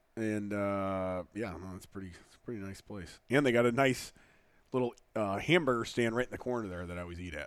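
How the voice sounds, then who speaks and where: A man has a plain, everyday voice, fairly low in pitch with ordinary pitch variation. The very clean recording has a silent background, and his loudness swings widely. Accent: American. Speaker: podcast host. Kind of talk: casual chat.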